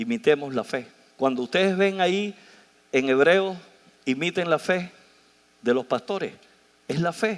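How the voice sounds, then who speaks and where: With lively intonation, the talking proceeds rather slowly. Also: man. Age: 60s. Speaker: pastor. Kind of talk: sermon. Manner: animated.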